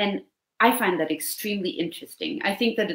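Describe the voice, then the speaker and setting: Her background stays quiet. The woman's pitch varies in an ordinary way. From Denmark. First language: Danish (speaking Italian). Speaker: novelist; guest. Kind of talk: interview. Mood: calm, thoughtful. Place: home room.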